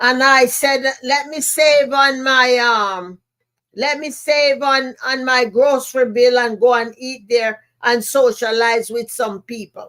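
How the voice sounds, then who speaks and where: With a Jamaican accent, a woman talks very slowly in a high pitch and a bright, sharp tone. Her intonation stays fairly even. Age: 70s. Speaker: motivational speaker and podcast host. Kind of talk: podcast monologue, personal storytelling. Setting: live stream.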